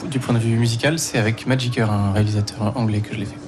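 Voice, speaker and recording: Amid noticeable background noise and audible room echo, a man speaks with fairly even intonation. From Provence. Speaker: singer. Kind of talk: casual interview.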